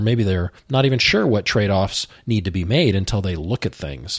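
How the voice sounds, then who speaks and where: A man speaks at a moderate pace with a somewhat breathy voice, recorded very cleanly against a silent background. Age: 50s. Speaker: finance instructor and financial planner. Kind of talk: educational talk show. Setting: studio.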